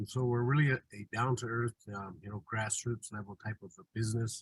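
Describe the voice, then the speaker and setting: A man talks at a medium pitch with ordinary pitch variation, somewhat breathy. The sound is dry and close, with no echo. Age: 60s. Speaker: tour guide. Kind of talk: webinar presentation. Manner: halting, many fillers.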